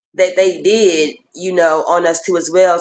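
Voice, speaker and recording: A woman's fairly low voice with an American accent. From Texas, Houston. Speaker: podcast guest. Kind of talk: testimony.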